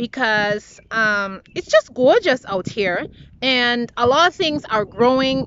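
A woman speaks at a very slow pace with a high pitch and ordinary pitch variation. The sound is dry with no echo, with light background noise. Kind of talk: casual vlog chat. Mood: happy, upbeat. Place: garden. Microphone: phone near.

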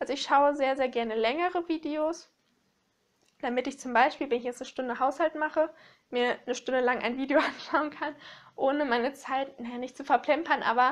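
The speaker is a woman with a high-pitched voice. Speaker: book vlogger. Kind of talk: casual vlog chat. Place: home room.

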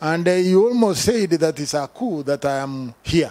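Lively intonation marks this man's high-pitched voice. He speaks at a fairly slow pace. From Kenya. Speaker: fundraiser emcee. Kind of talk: live event announcements. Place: tent. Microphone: handheld.

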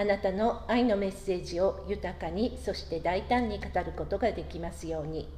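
Over light background noise, a woman speaks with hardly any pauses. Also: moderate pace. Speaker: worship leader. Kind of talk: prayer. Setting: church. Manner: formal. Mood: calm, reverent.

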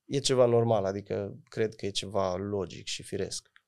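Against a quiet background, a man with a fairly low pitch speaks with fairly even intonation. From Romania, Oradea (Bihor), parents from Moldova; Romania. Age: 30s. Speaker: folk singer and music producer; podcast guest. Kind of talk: interview. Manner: hesitant, many fillers. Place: studio. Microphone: studio mic.

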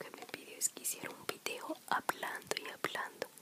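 A soft-spoken woman talks over loud background noise. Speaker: ASMR creator. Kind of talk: soft spoken casual vlog chat. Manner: soft-spoken ASMR voice, close to mic. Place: home room. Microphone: studio mic.

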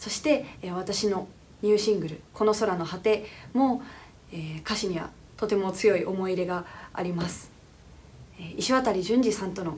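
A woman speaks at a moderate pace with ordinary pitch variation and big swings in loudness. Long pauses come often. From Japan, Fukuoka; Japan. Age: 20s. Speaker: singer. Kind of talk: recorded congratulatory comment. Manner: hesitant, many fillers.

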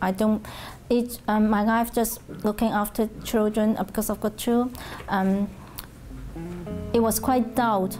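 A woman with a Hong Kong accent speaks in a fairly high, flat monotone at a fairly slow pace, keeping her loudness very even. She leaves long, frequent pauses while faint music plays in the background. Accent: Hong Kong Cantonese-accented English. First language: Cantonese. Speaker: Cantonese language teacher. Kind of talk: oral history interview answer. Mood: calm, reflective. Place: classroom. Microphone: lapel.

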